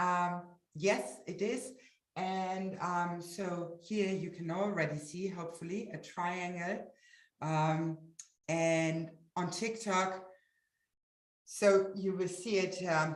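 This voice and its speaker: Amid audible room echo, a woman with a fairly low pitch speaks at a very slow pace with fairly even intonation and long, frequent pauses. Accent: German. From Germany. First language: German. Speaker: webinar presenter. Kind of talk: live webinar presentation. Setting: livestream. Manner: halting, many fillers.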